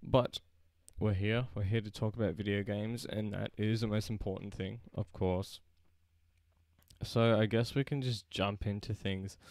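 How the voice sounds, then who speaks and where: With an Australian accent, a man talks at a moderate pace and fairly low pitch in a monotone, flat intonation, in a very clean recording with a silent background. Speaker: gaming YouTuber. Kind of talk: casual live stream chat.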